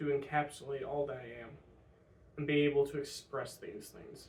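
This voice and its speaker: At a moderate pace, a man with an American accent speaks in a somewhat breathy, fairly high voice. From US Midwest. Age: 20s. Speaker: vlogger. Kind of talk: personal vlog monologue. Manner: halting, many fillers.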